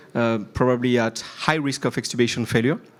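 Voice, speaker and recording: With a French accent, a man speaks at a medium pitch with fairly even intonation. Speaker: intensive care physician. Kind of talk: conference presentation. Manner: halting, many fillers.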